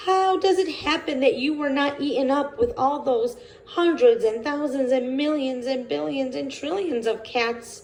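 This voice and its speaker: Over clear background noise, a woman uses a put-on character voice, high-pitched, at a moderate pace with lively intonation. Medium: read story.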